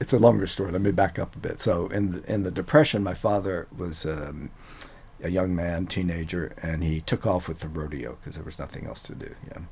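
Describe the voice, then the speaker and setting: The speaker has an American accent and a somewhat breathy sound. The pace is fairly quick, with ordinary pitch variation. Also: man, very deep, low pitch for a man. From US South, Louisiana (Cajun, Eunice). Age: 70s. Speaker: neuroscientist. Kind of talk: interview. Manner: hesitant, many fillers.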